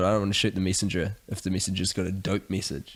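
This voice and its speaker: With a New Zealand accent, a man speaks at a very fast pace and a fairly low pitch. The recording is very clean, the background silent. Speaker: podcast co-host. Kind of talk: casual chat.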